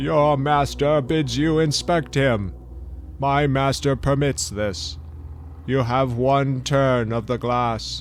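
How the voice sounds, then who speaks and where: The speaker uses a put-on character voice at a very slow pace. Background noise is clearly audible. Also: man, medium pitch for a man. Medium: audio drama. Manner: gruff, curt.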